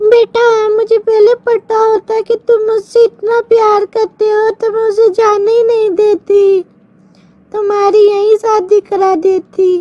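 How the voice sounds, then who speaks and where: In a cartoonish character voice, a woman speaks at an extremely high pitch, fairly slowly, with monotone, flat intonation. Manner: calls everyone "beta".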